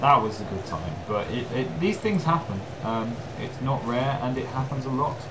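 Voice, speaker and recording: A man's voice with very wide pitch swings at a moderate pace, amid noticeable background noise and audible room echo. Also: medium pitch for a man. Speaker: gaming commentator. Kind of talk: gameplay commentary. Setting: home recording with headphones. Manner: loud; hesitant, many ums.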